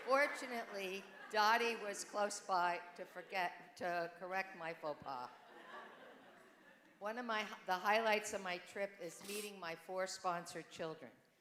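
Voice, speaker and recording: With audible room echo, a woman speaks fairly slowly at a medium pitch in a bright, sharp tone, with ordinary pitch variation and long, frequent pauses. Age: 70s. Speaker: church volunteer. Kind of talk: testimony. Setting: church.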